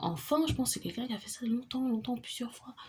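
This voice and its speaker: A woman speaks in a dark, mellow, somewhat breathy tone. The recording is very clean, with a silent background. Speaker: tarot reader. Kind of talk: tarot reading monologue. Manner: fast; halting.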